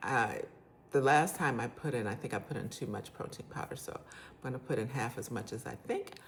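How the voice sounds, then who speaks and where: Loud and at a moderate pace, a woman speaks with very wide pitch swings. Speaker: cooking channel host. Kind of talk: cooking tutorial. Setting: home kitchen. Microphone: phone mic, forgot lapel mic.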